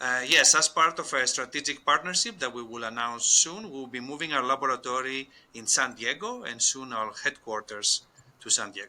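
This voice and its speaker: With a Greek accent, a man talks at a moderate pace. His pitch is medium, with ordinary variation. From Greece. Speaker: scientist and company co-founder. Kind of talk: podcast interview.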